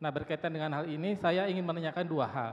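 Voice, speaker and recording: With fairly even intonation, a man speaks in an ordinary speaking voice pitched fairly high. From Indonesia. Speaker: researcher, audience member; audience member. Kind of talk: audience question. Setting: auditorium with audience. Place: hall. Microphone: handheld.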